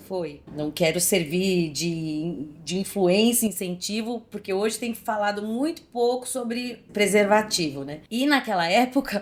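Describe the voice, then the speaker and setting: A plain, everyday voice from a woman, medium-pitched, fairly slow, with lively intonation. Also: hardly any pauses. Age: 40s. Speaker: actress. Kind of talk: podcast interview, personal story.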